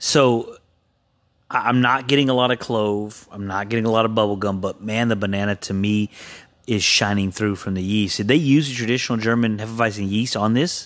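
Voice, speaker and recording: This normal speaking voice has fairly even intonation on a very clean recording with a silent background. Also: man, fairly low pitch for a man, fairly quick pace. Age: 40s. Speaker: podcast co-host, beer reviewer. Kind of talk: casual chat.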